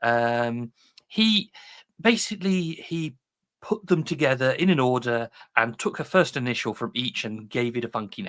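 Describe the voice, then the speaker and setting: With a British accent, a man of medium pitch talks at a moderate pace, his pitch swinging very widely. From UK. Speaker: software developer giving conference talk. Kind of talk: technical talk. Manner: casual, hesitant with fillers.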